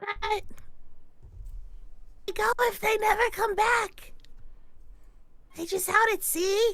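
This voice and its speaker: An extremely high-pitched, put-on character voice is used. It moves at a fairly slow pace with long, frequent pauses. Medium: actual play. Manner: halting, simple, questioning.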